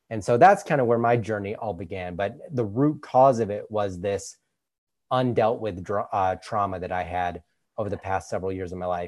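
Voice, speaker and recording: Against a quiet background, a man with an American accent and an unremarkable speaking voice talks at a moderate pace, with a fairly low pitch and ordinary pitch variation. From Utah. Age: 20s. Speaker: nutrition coach. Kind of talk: interview.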